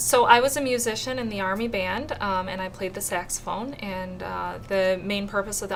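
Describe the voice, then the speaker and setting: There is audible room echo as a woman with an American accent speaks at a medium pitch and moderate pace. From upstate New York. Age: 30s. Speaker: veteran. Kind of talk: interview testimony. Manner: hesitant with fillers.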